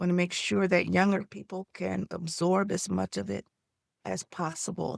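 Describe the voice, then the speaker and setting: A woman speaks at a moderate pace in a very clean recording with a silent background and a dry, close sound with no echo. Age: 60s. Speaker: nonprofit founder and consultant. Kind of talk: information session for nonprofit leaders. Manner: animated.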